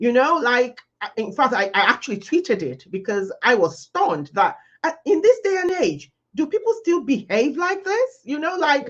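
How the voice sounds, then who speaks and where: A woman speaks at a moderate pace with very wide pitch swings. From Nigeria. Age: 60s. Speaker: leadership talk host. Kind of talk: panel discussion. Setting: live stream.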